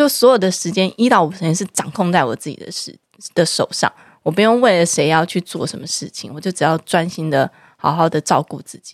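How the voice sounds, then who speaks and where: A woman with a plain, everyday voice, fairly low in pitch, at a fairly quick pace, with lively intonation, big swings in loudness, and a dry, close sound with no echo. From Taiwan, Taipei (Zhonghe/Yonghe). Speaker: podcast host. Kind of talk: casual chat.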